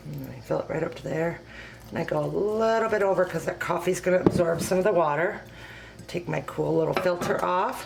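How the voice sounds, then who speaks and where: A woman speaks quietly at a fairly quick pace against noticeable background noise. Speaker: home cooking video host and product consultant. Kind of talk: tutorial. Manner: quiet, speaking low; hesitant, many fillers.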